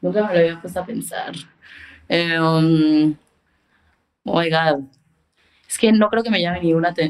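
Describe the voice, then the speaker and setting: A woman is talking here. Her voice sits very deep and low. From Mexico. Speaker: photographer and creative director. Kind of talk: casual interview chat.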